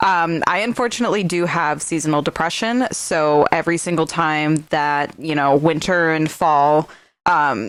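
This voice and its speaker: A woman with an American accent and a very deep, low pitch speaks at a moderate pace with ordinary pitch variation and very even loudness. The recording is very clean, with a silent background. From US Midwest, Wisconsin (Milwaukee area). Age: 20s. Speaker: podcast host. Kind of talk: casual monologue podcast. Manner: halting, many fillers and restarts.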